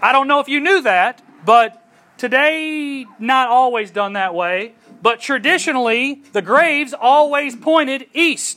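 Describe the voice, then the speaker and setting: A man's extremely high, raised and projected voice with a bright, sharp tone at a fairly slow pace. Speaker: preacher. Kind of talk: sermon. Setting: outdoors.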